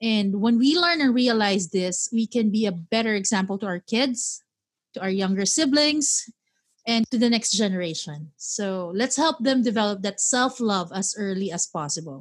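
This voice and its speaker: A woman's fairly high, somewhat breathy voice with lively intonation at a moderate pace, against a quiet background. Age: 30s. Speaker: podcast host. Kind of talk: casual chat.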